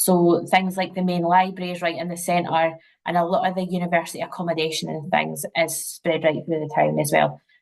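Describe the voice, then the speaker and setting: A woman speaks at a moderate pace in a monotone, flat intonation with vocal fry. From Scotland, near St Andrews, Fife. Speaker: university representative. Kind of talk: webinar presentation. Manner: casual, many fillers.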